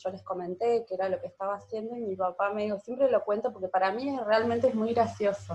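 A woman with a plain, everyday voice, medium pitch and fairly even intonation. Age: 30s. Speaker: breathing therapy teacher. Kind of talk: interview.

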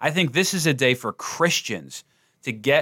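In a very clean recording with a silent background, a man with an American accent talks with ordinary pitch variation. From New Jersey. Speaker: pastor. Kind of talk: casual chat.

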